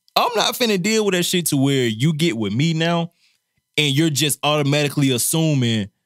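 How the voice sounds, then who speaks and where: Keeping his loudness very even, a man with a fairly high pitch speaks fairly quickly in an ordinary speaking voice with lively intonation. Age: 30s. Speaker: podcast co-host. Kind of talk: casual chat.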